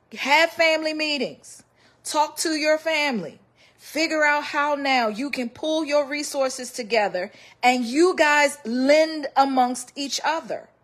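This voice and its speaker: Her pitch is high, with ordinary variation. The woman talks at a fairly slow pace. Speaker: personal finance commentator. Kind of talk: financial advice monologue. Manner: emphatic, exhorting.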